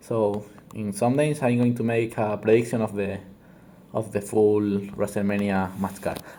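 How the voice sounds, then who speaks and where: In a Spanish accent, a man speaks with a dark, mellow tone and fairly even intonation. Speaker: wrestling commentator youtuber. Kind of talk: casual commentary monologue. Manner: halting, many fillers and restarts.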